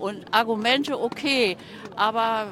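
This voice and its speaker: With noticeable background noise behind her, a woman speaks at a fairly high pitch with ordinary pitch variation. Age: 70s. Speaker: activist. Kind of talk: street interview. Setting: outdoors.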